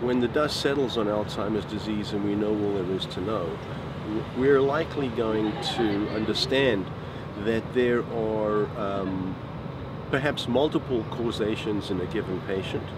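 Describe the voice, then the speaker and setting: Over loud background noise, a man talks at a fairly slow pace with ordinary pitch variation. The sound is dry with no echo. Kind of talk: interview answer. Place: street.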